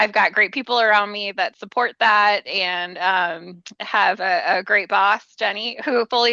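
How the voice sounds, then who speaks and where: A bright, sharp tone with a Minnesotan accent, fairly slow, with ordinary pitch variation, dry and close with no echo, over a quiet background. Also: woman. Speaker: family program trainer and therapist. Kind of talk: podcast interview.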